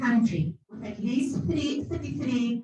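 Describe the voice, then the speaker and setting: A woman's fairly high-pitched voice with lively intonation. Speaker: academic. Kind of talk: conference presentation. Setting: conference hall, hybrid event.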